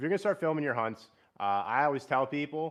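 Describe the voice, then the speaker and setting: Against a quiet background, a man speaks with a Central Pennsylvania accent. His pace is fairly quick and his intonation lively. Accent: Central Pennsylvania American. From South Central Pennsylvania, Harrisburg region. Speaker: bowhunter, live streamer. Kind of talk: casual live stream chat. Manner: casual, filler-heavy; loud.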